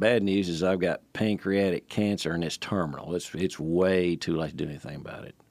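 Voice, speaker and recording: At a moderate pace, a man with a Tennessee accent speaks at a very deep, low pitch on a very clean recording with a silent background. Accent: Southern US (Tennessee). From Nashville, Tennessee. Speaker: retired engineer and father. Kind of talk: storytelling in casual family chat. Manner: halting, many fillers and restarts.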